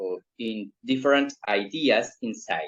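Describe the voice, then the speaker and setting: A man speaks with a Spanish accent. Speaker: political show host, interviewer. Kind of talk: interview. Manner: hesitant, many fillers.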